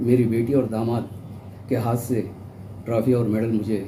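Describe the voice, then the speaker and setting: A man speaks at medium pitch with a dark, mellow, somewhat breathy tone. His intonation is monotone and flat, and the room echo is audible. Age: 60s. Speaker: elderly marathon participant, vlogger. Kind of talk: personal account to camera.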